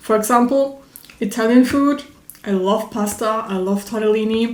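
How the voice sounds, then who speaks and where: Over noticeable background noise, a woman talks in a fairly high pitch. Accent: non-native. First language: not English. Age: 20s. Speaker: YouTuber. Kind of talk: personal vlog monologue. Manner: hesitant, many fillers; spontaneous, unscripted.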